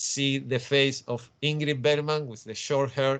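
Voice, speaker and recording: His Spanish accent comes through as this man speaks. His pitch is fairly high, with fairly even intonation. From Spain. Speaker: comic book writer. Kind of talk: panel talk. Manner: halting.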